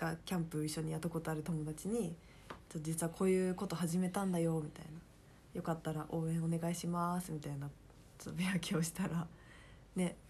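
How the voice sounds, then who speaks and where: A woman's somewhat breathy voice, fairly low in pitch with a dark, mellow tone, runs at a fairly quick pace in monotone, flat intonation. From Kansai, Japan. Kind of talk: casual chat.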